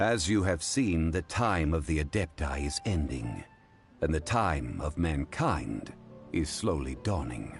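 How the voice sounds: Putting on a character voice, a man speaks at an extremely low pitch with big pitch swings. He talks at a fairly slow pace over faint background music.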